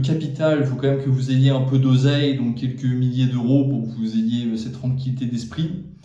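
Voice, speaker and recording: Audible room echo around a man's voice, medium in pitch, with fairly even intonation. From France. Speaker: YouTuber giving job advice. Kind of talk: casual talk to camera. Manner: hesitant, many fillers.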